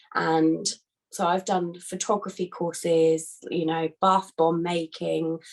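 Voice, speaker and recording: A woman with a British accent, fairly low in pitch, at a very slow pace with monotone, flat intonation. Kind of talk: casual talk to a business group.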